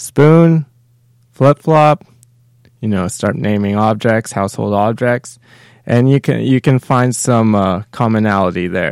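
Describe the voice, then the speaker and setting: A man with a plain, everyday voice speaks at a fairly slow pace and medium pitch with ordinary pitch variation, the sound dry and close with no echo on a very clean recording with a silent background. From Canada. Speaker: podcast host. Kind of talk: casual chat.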